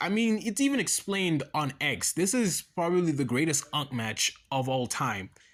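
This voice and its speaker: A man with a high-pitched voice speaks at a moderate pace, his pitch swinging very widely over noticeable background noise. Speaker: wrestling commentary YouTuber. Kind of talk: casual solo vlog commentary. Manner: halting, stammering with fillers; animated.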